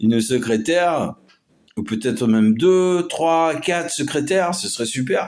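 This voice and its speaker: A man at a very slow pace with lively intonation. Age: 50s. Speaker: amateur artist and vlogger. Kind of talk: casual vlog monologue. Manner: halting, many hesitations.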